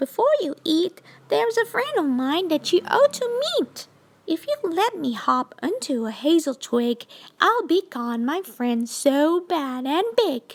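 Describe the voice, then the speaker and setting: An extremely high, squeaky put-on character voice with very wide pitch swings and a fairly slow pace. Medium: read story.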